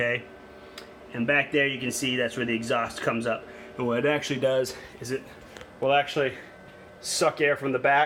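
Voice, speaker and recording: Over noticeable background noise, a man at medium pitch speaks with monotone, flat intonation and long, frequent pauses. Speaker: hobbyist product reviewer. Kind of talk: casual product walkthrough. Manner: halting, many fillers; casual.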